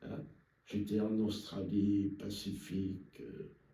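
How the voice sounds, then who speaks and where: The voice has a dark, mellow tone with vocal fry. It moves at a fairly slow pace with ordinary pitch variation. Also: man. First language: French. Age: 80s+. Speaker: cognac producer. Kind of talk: interview answer.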